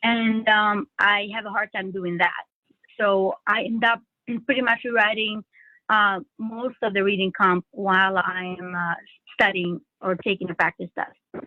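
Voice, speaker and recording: A woman speaks at a medium pitch with a non-native accent. Her intonation is fairly even and her pace fairly slow. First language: not English. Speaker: LSAT student. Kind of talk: coaching session. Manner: halting, many fillers.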